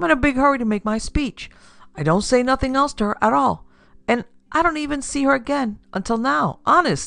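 This put-on character voice has a bright, sharp tone and vocal fry, and it moves at a fairly quick pace. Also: ordinary pitch variation.

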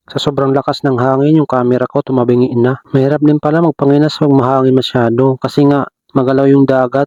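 A man's medium-pitched, flat, monotone voice at a very fast pace, with hardly any pauses and very even loudness. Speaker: vlogger. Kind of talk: vlog voice-over narration. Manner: casual, conversational.

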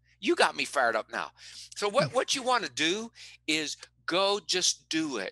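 A man speaks at a moderate pace in an animated tone. The sound is dry with no echo, over a quiet background. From West Virginia. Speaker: performance psychologist and motivational speaker; interview guest, performance coach. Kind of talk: interview. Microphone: headset.

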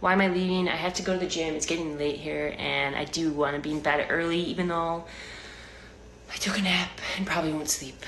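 At a fairly quick pace, the speaker uses monotone, flat intonation over light background noise. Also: woman, fairly low pitch for a woman. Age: 20s. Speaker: live streamer. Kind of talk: casual chat. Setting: home kitchen. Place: home room. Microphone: phone near.

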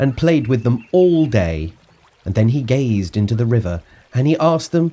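Someone reads aloud in a natural voice, the intonation lively throughout.

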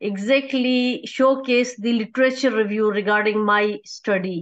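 In a Pakistani accent, a woman speaks at a fairly slow pace with ordinary pitch variation against a quiet background. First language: Urdu. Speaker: academic researcher; conference presenter. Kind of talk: conference presentation. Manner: halting, many fillers. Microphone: video call.

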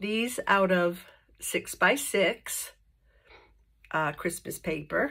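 Very slowly, a woman speaks against a quiet background. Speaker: paper craft tutorial host. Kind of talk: tutorial. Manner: casual, with fillers. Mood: cheerful, friendly.

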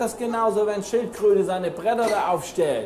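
The speech moves at a moderate pace. Light background noise and audible room echo are present. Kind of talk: casual conversation. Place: cafe.

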